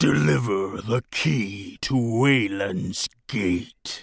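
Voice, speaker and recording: A man's put-on, menacing character voice, fairly low, raspy, guttural and growling, delivered at a very slow pace on a very clean recording with a silent background. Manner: growling, menacing.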